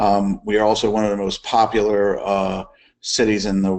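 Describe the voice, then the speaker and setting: There is a man with an American accent who speaks at a fairly low pitch. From US South, New Orleans, Louisiana. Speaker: EMS chief. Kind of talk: case study presentation. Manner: hesitant, many fillers.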